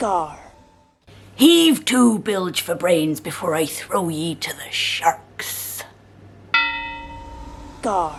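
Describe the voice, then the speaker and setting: The voice is a put-on character. Its delivery is very slow. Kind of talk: alarm clock wake-up calls. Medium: role play. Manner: gruff, shouting.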